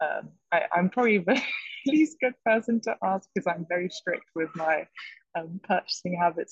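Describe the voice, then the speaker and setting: The voice is somewhat breathy, with ordinary pitch variation at a fairly quick pace. The sound is dry and close with no echo. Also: woman. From French-English, raised abroad. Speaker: fashion management student. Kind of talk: podcast interview.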